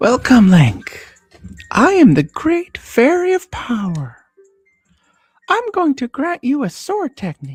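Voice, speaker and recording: A put-on character voice, female-sounding and high in pitch, moves at a fairly slow pace with long, frequent pauses. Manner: excited and immodest.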